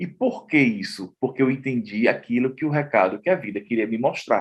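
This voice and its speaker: Over a quiet background, a man speaks in an ordinary speaking voice at a moderate pace and medium pitch. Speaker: journalist and artist. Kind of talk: interview testimony.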